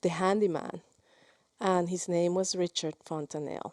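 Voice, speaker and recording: In a Spanish accent, a woman with a fairly low pitch speaks at a fairly slow pace with fairly even intonation, in a dry, close sound with no echo. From Mexico. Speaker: film director. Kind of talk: interview. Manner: halting, many repetitions.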